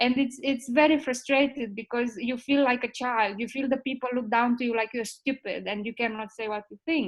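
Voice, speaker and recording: A woman with a Romanian accent talks at a fairly quick pace in a high voice, her intonation fairly even. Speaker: ethics expert. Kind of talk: panel discussion. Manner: halting.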